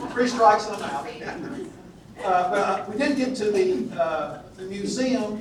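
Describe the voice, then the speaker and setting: Through noticeable background noise and audible room echo, a man with a Southern US accent speaks at a fairly slow pace with a high pitch, lively intonation and long, frequent pauses. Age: old. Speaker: Old Testament scholar, retired minister. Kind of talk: lecture. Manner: halting, many fillers.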